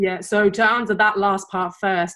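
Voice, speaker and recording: A woman's monotone, flat delivery over a quiet background. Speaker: guest. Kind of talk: interview answer. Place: home room.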